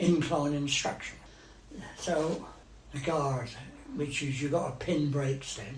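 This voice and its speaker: Through noticeable background noise, a man with fairly high pitch speaks at a very slow pace with fairly even intonation. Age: 80s+. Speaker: retired railway driver and inspector. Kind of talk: reminiscing interview answer. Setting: at home.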